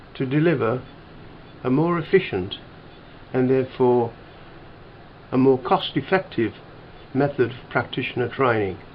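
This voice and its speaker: A man with a Birmingham accent speaks fairly slowly at medium pitch. His intonation is lively. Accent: Brummie. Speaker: industrial engineering instructor. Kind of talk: tutorial presentation. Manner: clear, deliberate.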